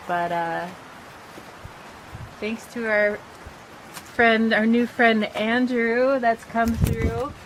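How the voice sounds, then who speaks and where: The speech moves at a very slow pace with long, frequent pauses and fairly even intonation over noticeable background noise. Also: woman, fairly high pitch for a woman. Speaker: vlogger building a tiny house. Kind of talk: casual video update. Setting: outdoors on a porch. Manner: slow, hesitant with many fillers.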